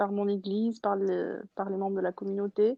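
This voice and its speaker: The speaker is a woman. Her pitch is fairly high. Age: 20s. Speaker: churchgoer guest. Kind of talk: testimony. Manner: halting.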